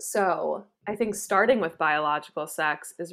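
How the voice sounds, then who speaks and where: At a fairly slow pace, a woman with an American accent and a fairly low pitch talks in an ordinary speaking voice. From New York State. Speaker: psychologist and therapist. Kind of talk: casual chat.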